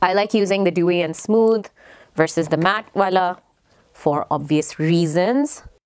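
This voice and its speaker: Moderately paced female speech over a quiet background. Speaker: beauty vlogger. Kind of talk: makeup tutorial chat. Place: home room. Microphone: phone near.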